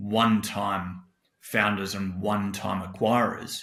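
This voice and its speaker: A man's fairly low, bright and sharp voice with an Australian accent, with audible room echo. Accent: thick Australian. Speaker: tech company CEO. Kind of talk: podcast interview.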